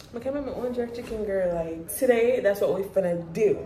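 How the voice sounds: A woman speaks at a fairly high pitch with ordinary pitch variation and a dark, mellow tone, with audible echo from the room.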